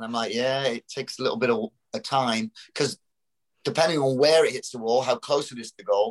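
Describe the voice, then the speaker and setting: Here a man talks at a very fast pace. He has a medium pitch and a British accent. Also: dry, close sound with no echo. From Britain. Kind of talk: casual chat.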